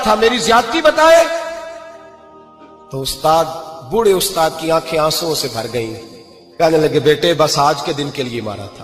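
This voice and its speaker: Music plays in the background as a man talks. His pitch swings very widely. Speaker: Islamic preacher. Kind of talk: religious sermon (bayan) telling a moral story.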